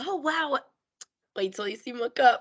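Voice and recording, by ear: A woman's high, hoarse, put-on character voice with lively intonation at a moderate pace, dry and close with no echo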